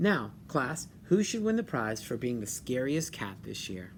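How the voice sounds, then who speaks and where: A man puts on a character voice at medium pitch and a moderate pace. Clear background noise can be heard. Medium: read story.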